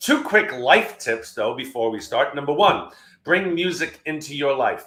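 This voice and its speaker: A man with a New York accent, fairly high pitch and a bright, sharp tone. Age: 60s. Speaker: keynote speaker. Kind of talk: webinar presentation. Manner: fast.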